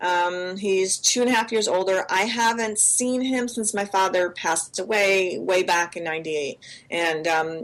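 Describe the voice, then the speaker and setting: Noticeable background noise behind a woman's medium pitch, moderate pace and ordinary pitch variation. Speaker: podcast co-host. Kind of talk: casual chat. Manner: animated.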